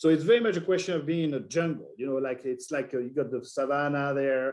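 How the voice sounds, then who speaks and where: At a very fast pace, a man with a French accent speaks at a fairly high pitch with ordinary pitch variation. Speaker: wine importer. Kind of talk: interview. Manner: halting.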